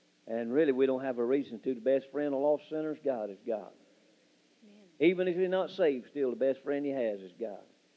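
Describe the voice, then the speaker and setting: With a dark, mellow tone, a man talks at a fairly quick pace, his loudness rising and falling in big swings. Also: medium pitch for a man, ordinary pitch variation. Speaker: missionary. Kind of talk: testimony. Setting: church.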